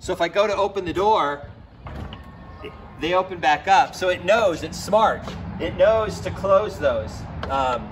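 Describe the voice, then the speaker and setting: With music in the background, a man with a high pitch speaks fairly slowly, his pitch varying in an ordinary way, leaving long, frequent pauses. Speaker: car owner demonstrating feature. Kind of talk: tutorial. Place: street.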